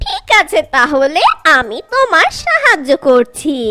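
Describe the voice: A female-sounding cartoonish character voice pitched extremely high. It moves at a fairly slow pace.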